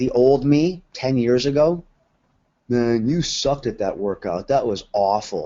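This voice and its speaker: The man's voice sits at a medium pitch and carries lively intonation. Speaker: fitness coach and corporate trainer. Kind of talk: motivational talk to challenge group. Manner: animated.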